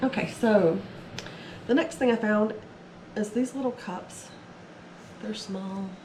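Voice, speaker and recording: A woman speaks fairly slowly while noticeable background noise continues behind her. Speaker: eBay reseller. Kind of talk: casual haul video talk to camera.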